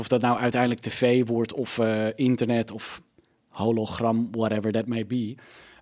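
The voice has a dark, mellow tone and flat, monotone intonation, moving at a fairly slow pace. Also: man. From Netherlands, Almere. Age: 30s. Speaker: media personality. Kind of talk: casual chat. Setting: studio.

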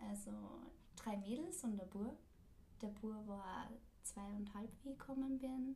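With audible room echo, a woman speaks at a fairly slow pace in a fairly high, somewhat breathy voice with a dark, mellow tone, ordinary pitch variation, and long, frequent pauses. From Austria, Linz. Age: 20s. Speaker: podcast host, former au pair, student. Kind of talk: casual chat.

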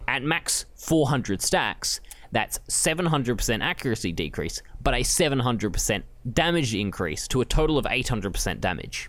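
A man with an Australian accent talks at a fairly quick pace and medium pitch, with vocal fry. His pitch swings very widely. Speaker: podcast co-host. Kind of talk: casual chat.

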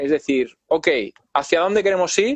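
The sound is close and dry, without any echo. The voice belongs to a man. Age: 30s. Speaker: drummer and YouTuber. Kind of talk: casual interview chat. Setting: online live video call.

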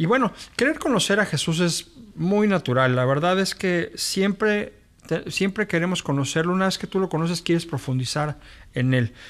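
The voice belongs to a man with a high pitch. His intonation is lively. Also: moderate pace. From Mexico City. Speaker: pastor. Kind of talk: podcast introduction monologue. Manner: halting.

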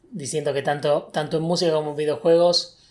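A somewhat breathy man talks at a fairly high pitch and a very fast pace. His intonation is monotone and flat. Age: 20s. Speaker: podcast host and video game developer. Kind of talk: casual chat.

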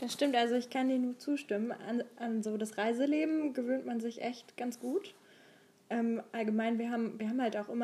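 Her voice is fairly high, with a dark, mellow tone and a somewhat breathy quality. The woman speaks at a moderate pace. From Saxony, Dresden area. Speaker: podcast co-host. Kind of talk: casual chat. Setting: travelling abroad in Thessaloniki.

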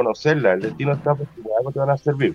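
Somewhat breathy and in a Chilean accent, the voice moves at a very fast pace. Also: man. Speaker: podcast co-host, butcher shop owner. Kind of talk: casual chat.

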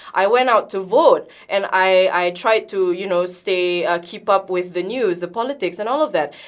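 A woman with a Sabahan accent talks at a moderate pace and medium pitch, with ordinary pitch variation. She hardly pauses at all. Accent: Malaysian (Sabahan) English. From Sabah, Malaysia (Kota Kinabalu). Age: 20s. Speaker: youth activist. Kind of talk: radio talk show interview. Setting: radio studio. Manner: earnest, lightly hesitant with ums.

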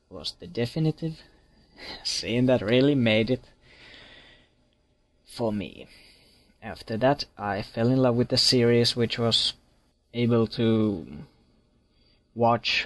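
Slowed to a very slow pace, a man with a Finnish accent talks with long, frequent pauses. His medium pitch follows fairly even intonation. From Finland. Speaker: listener leaving a voicemail for a podcast. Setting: recorded voicemail.

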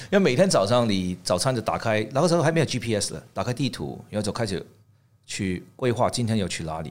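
A man talks at a fairly quick pace and a medium pitch, with very wide pitch swings. The recording is very clean, with a silent background. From Hong Kong and Canada. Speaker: tableware designer. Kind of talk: interview. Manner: halting.

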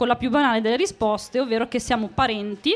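The woman's tone is animated. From northern Italy, Emilia (Monticelli). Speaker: podcast host. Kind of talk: live storytelling to audience. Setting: stage with audience.

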